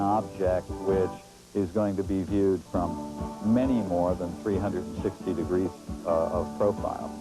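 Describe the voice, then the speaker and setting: Over music in the background, a man with a fairly low pitch and ordinary pitch variation speaks at a moderate pace. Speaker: display artist. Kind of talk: interview answer.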